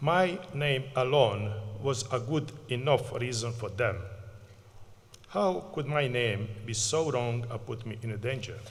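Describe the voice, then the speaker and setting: A man at medium pitch with ordinary pitch variation, speaking at a fairly slow pace amid audible room echo. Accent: Bosnian. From Bosnia and Herzegovina. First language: Bosnian. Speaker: community project manager, refugee advocate. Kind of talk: acceptance speech. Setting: stage at graduation ceremony.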